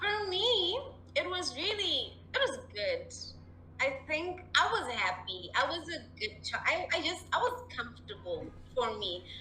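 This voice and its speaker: A woman is heard with audible room echo and music playing in the background. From Zimbabwe. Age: 20s. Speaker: mental health advocate. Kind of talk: interview. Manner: animated.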